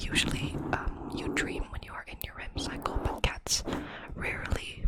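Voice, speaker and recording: Fairly slow whispering, noticeable background noise behind it. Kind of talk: ASMR facts narration to camera. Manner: whispered, soft-spoken.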